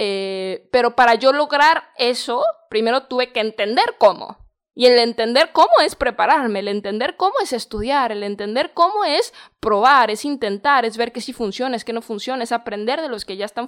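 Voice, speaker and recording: A woman with a Mexican accent, high pitch and lively intonation, at a moderate pace, on a very clean recording with a silent background. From Mexico. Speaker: podcast host. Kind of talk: motivational monologue. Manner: warm, informal.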